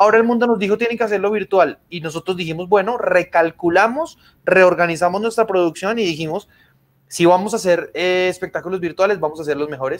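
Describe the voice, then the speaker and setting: Very fast delivery with ordinary pitch variation. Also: man, high pitch for a man. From Colombia. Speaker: magician; guest. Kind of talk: casual interview chat. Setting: video call. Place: home room. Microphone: video call.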